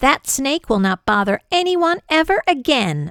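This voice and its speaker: Putting on a character voice, a woman speaks at a high pitch and a moderate pace with very wide pitch swings, the sound dry and close with no echo. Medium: read story.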